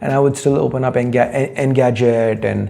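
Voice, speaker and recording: With an American accent, a man speaks at a fairly high pitch and a moderate pace. Noticeable background noise is present. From India. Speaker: tech YouTuber answering viewer questions. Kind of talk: casual Q&A talk show. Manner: conversational with frequent fillers.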